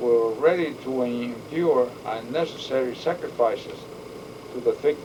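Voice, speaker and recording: The speech goes at a fairly slow pace over noticeable background noise. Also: man. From Puerto Rico and Bronx, New York. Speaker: war veteran. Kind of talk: interview. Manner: halting.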